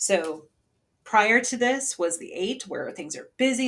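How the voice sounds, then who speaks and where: A woman's somewhat breathy voice rises and falls with lively intonation. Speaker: tarot reader. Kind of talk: tarot reading. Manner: casual, chatty.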